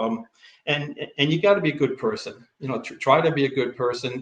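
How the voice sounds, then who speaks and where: A man speaks at a fairly quick pace with an American accent. His voice is somewhat breathy. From US East Coast. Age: 70s. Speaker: retired teacher and coach. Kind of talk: casual interview. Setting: livestream video call. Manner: halting.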